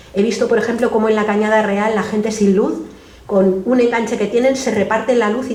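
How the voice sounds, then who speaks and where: Fairly high-pitched, a woman talks at a fairly quick pace. Audible room echo and noticeable background noise fill the recording. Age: 60s. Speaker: activist and speaker. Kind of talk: public talk Q&A. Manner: halting, many self-corrections.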